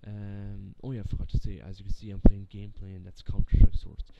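A man talking at a fairly quick pace, dry sound with no echo, over loud background noise. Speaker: gaming channel vlogger. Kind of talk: casual vlog chat. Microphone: webcam.

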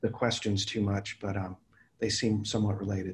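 At a medium tempo, the speaker talks with a slight breathiness. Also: man. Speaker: university dean and moderator; moderator. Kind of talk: moderated discussion. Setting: video call. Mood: calm, courteous. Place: home room. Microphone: video call.

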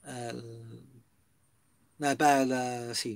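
The sound is dry with no echo, over a quiet background. A man speaks with fairly even intonation. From Italy. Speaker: YouTuber. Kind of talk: casual vlog news commentary. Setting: inside a camper van. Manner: hesitant, filler-heavy. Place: home room. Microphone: webcam.

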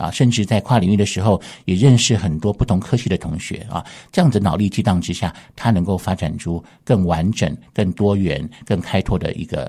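A man speaks at a moderate pace in a fairly low pitch, with ordinary pitch variation. His tone is dark and mellow, and the background is quiet. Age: 50s. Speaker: university art professor. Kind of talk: radio interview. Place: studio.

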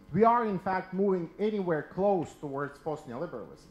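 A man talks with a high pitch. Audible room echo surrounds his voice. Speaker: audience member asking questions; audience member. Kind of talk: Q&A questions. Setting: stage with audience. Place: hall. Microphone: handheld.

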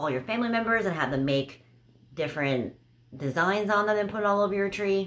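A woman talks at a moderate pace. Light noise can be heard in the background. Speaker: haul vlogger. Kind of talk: casual vlog chat. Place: home room.

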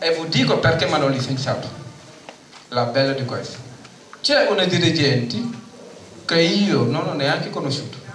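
A man with a fairly high voice and long, frequent pauses, with audible room echo and light background noise. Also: ordinary pitch variation, moderate pace. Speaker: tenants' union delegate. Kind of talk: conference speech. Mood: indignant, earnest. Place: hall. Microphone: handheld.

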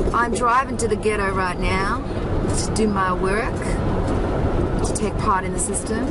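Loud background noise accompanies a woman speaking at a moderate pace, the sound dry with no echo. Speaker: vlogger. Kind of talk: motivational vlog talk. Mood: calm, earnest, uplifting. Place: car. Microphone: phone near.

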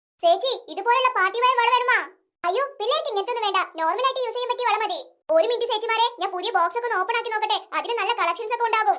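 In a cartoonish character voice, the speech runs at a very fast pace with a sing-song lilt. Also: woman, extremely high pitch for a woman. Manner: repetitive sing-song hawking.

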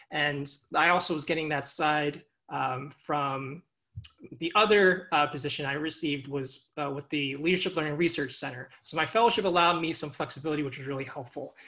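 A man with a fairly high pitch and an American accent, bright and sharp in tone, fairly even in intonation, at a fairly quick pace. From Long Island, New York. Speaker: doctoral student. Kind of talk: panel talk.

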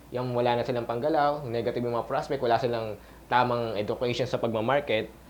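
Very fast speech comes from a man with a medium pitch. His intonation is monotone and flat, and there is noticeable background noise. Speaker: network marketing coach. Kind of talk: tutorial. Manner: halting.

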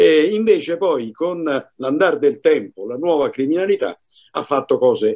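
Against a quiet background, a man speaks at a high pitch. His intonation is lively. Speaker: commentator, former law enforcement; panelist. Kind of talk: panel discussion. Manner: formal. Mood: earnest, indignant. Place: home room. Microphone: video call.

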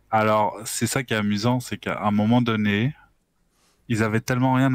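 A man talks at a moderate pace with fairly even intonation, and the sound is dry with no echo. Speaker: gamer. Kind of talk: casual chat. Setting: video call. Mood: relaxed, amused. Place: home room. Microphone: headset.

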